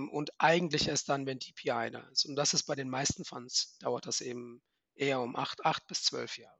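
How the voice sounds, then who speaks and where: A man's fairly high-pitched, normal speaking voice, at a moderate pace, with fairly even intonation and big swings in loudness. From Germany, Frankfurt. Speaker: venture capital fund manager. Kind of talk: interview.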